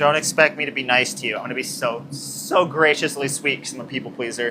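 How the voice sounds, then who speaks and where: Talking at a very fast pace, a man with an American accent has a fairly high pitch. Noticeable background noise runs underneath. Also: big swings in loudness. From New Mexico, US Southwest. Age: 20s. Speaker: blacksmith livestreamer. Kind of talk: casual livestream chat while working. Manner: loud; animated.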